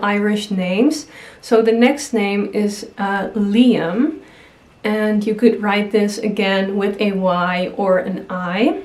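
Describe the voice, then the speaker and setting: Speaking at a very slow pace with a non-native accent, a woman uses fairly even intonation at a fairly high pitch, with noticeable background noise and audible room echo. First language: not English. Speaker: YouTuber. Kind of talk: casual vlog talk.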